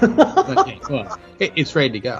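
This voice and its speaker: A man talks at a moderate pace with ordinary pitch variation. Music plays in the background. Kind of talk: casual podcast talk, trailer reaction.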